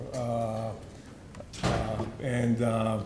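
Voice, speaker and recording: A man is speaking. Room echo is audible around him. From Israel. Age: 60s. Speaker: restaurant owner. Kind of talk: award acceptance speech. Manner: halting.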